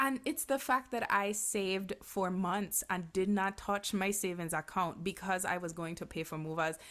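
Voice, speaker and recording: An unremarkable speaking voice belongs to a woman who talks at a medium pitch with ordinary pitch variation, at a moderate pace with hardly any pauses. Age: 30s. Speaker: podcast co-host. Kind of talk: casual chat.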